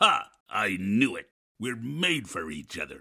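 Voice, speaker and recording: A man growls in a raspy put-on character voice. His pitch is medium and his pace fairly slow. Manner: playful, affectionate.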